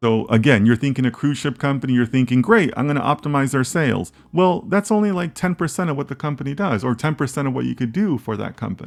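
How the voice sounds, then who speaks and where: A man's fairly high voice at a very fast pace, with lively intonation and hardly any pauses. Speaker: data science instructor. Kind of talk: lecture. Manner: animated, repetitive.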